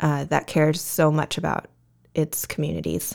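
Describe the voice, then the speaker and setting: Speech at a moderate pace with monotone, flat intonation comes through a very clean recording with a silent background. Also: woman. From Southern California, Vista. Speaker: nonprofit executive director. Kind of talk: interview.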